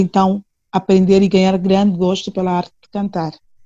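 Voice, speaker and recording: A woman's medium-pitched voice, dark and mellow in tone, against a quiet background. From Angola, Luanda. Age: 30s. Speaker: singer. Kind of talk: interview.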